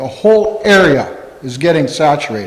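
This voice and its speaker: A man's high-pitched voice with an American accent and lively intonation, over noticeable background noise and audible room echo. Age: 60s. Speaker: farmer. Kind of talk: public comment at county board meeting. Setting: town hall meeting room. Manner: halting, with false starts.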